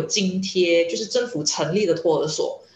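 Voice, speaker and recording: Behind the moderately paced speech, there is noticeable background noise. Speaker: journalism lecturer. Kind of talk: interview. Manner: hesitant with fillers.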